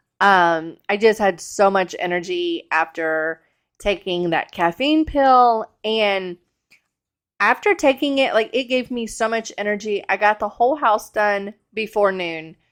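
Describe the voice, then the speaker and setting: This woman speaks at a medium pitch and a fairly slow pace, with lively intonation. The background is quiet. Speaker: cleaning vlogger. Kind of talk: casual vlog narration.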